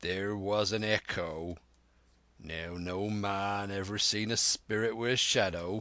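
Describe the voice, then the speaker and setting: Against a quiet background, a man puts on a character voice, fairly low in pitch, at a fairly slow pace. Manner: defiant, blustering.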